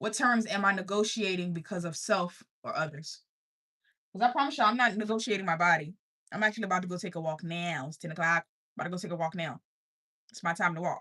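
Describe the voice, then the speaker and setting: A very fast, animated voice with a slight country accent, bright, sharp tone, long and frequent pauses, big loudness swings, ordinary pitch variation, and a quiet background. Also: woman, medium pitch for a woman. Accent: slight country twang. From US South, Richmond, Virginia. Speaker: life coach streamer. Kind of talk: motivational livestream talk. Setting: livestream.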